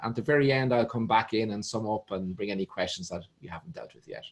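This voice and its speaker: A man with an Irish accent, talking at a very fast pace. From Ireland. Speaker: show host. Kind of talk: show introduction.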